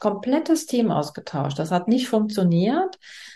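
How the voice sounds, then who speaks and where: A woman talks at a moderate pace in a dark, mellow tone. The background is quiet. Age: 60s. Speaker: business coach. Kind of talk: interview. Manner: halting.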